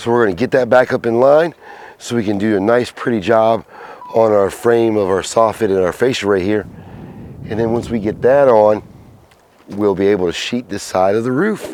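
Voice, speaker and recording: A man speaks at a medium pitch and a moderate pace, with ordinary pitch variation. He leaves long, frequent pauses, and background noise is noticeable. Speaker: construction contractor. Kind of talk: casual talk to camera, construction tutorial.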